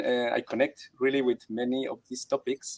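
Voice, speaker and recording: A man talks with a Colombian accent. His pitch sits in the medium range. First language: Spanish. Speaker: actor, dancer and teacher. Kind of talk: online workshop interview. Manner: halting.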